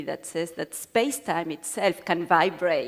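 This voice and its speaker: A woman with an Argentine accent, fairly low in pitch, at a moderate pace with ordinary pitch variation. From Argentina. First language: Spanish. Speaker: physicist. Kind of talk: panel discussion. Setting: stage with audience.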